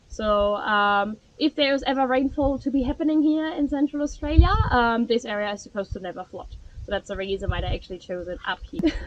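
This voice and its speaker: A woman with a high pitch and lively intonation talks at a fairly quick pace over noticeable background noise. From Germany. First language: German. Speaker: tour guide. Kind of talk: guided tour talk. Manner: fast.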